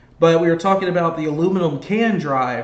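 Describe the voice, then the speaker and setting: A man speaks at a fairly high pitch with fairly even intonation. Room echo is audible. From Georgia, US. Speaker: sports fan commentator. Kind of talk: live play-by-play commentary and casual chat. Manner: trouble pronouncing R's and L's.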